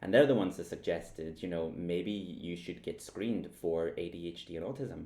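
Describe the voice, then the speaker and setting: A very deep, low-pitched man's voice in a Northern Irish accent, with ordinary pitch variation. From Northern Ireland. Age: 30s. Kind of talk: casual talk to camera.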